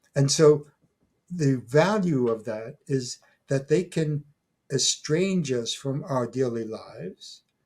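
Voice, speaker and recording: A man speaks at a very slow pace in a fairly high pitch. His voice is somewhat breathy, with ordinary pitch variation. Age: 80s+. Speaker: retired professor and folklore scholar. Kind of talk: interview. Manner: halting, many fillers and restarts.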